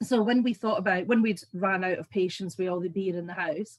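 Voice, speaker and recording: A woman speaks at a fairly quick pace in a somewhat breathy, medium-pitched voice with ordinary pitch variation. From Scotland. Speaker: business owner. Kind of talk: business presentation.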